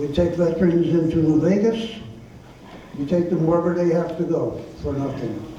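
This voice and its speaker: A man with a high pitch at a moderate pace, amid noticeable background noise and audible room echo. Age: 80s+. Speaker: political candidate. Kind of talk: candidate debate.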